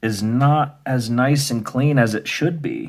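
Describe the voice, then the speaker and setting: On a very clean recording with a silent background, a man talks very slowly with a somewhat breathy sound. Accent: American. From US Midwest. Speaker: video game restoration youtuber. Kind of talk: tutorial. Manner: casual, hesitant with fillers.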